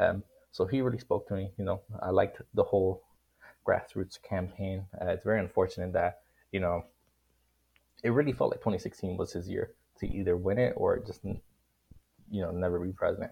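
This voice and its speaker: A man speaks at a fairly quick pace, broken by long, frequent pauses. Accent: Miami. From Miami, Florida. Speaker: college student guest. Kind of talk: casual political discussion.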